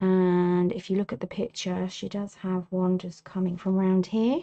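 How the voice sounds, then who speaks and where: This voice is soft-spoken and moves at a fairly slow pace. Its intonation stays monotone and flat. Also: woman. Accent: English. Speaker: artist. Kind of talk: tutorial. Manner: relaxed.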